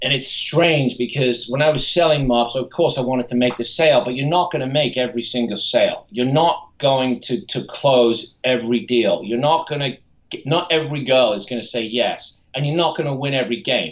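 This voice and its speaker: A man with an ordinary speaking voice talks at a moderate pace with hardly any pauses, using medium pitch and ordinary pitch variation. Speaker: TV pitchman / infomercial spokesman. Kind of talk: podcast interview answer.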